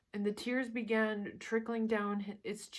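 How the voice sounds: A natural reading voice is heard here.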